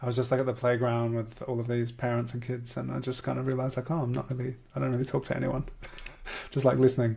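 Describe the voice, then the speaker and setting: With an Australian accent, a man speaks at a very fast pace in a monotone, flat intonation against noticeable background noise. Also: medium pitch for a man. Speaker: podcast host and portrait artist. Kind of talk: casual chat. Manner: halting.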